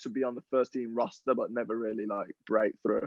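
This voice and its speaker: With an American accent, a man talks at a fairly quick pace, his medium-pitched voice keeping a fairly even intonation. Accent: English accent becoming slightly American. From England. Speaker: professional footballer. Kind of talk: podcast interview.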